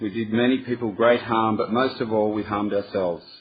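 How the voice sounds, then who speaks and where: Through noticeable background noise, a man with an Australian accent talks at a fairly quick pace in a monotone, flat intonation. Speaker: recovering addict at a workshop. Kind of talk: reading aloud. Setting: workshop with audience.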